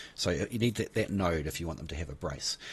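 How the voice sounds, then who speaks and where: Talking at a very fast pace with a New Zealand accent, a man shows lively intonation and vocal fry. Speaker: gaming YouTuber. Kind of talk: game tutorial. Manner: casual, hesitant with fillers.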